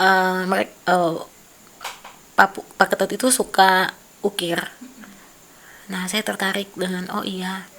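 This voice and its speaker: A woman speaks at a very slow pace in a medium pitch, her intonation monotone and flat, with long, frequent pauses and big swings in loudness. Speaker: artist. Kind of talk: casual chat.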